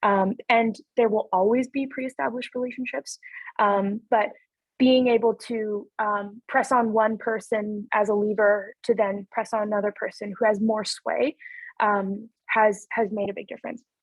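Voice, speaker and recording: A woman uses a plain, everyday voice at a moderate pace. Her pitch is fairly high, with fairly even intonation. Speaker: city councillor. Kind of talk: webinar presentation. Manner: many filler words (um).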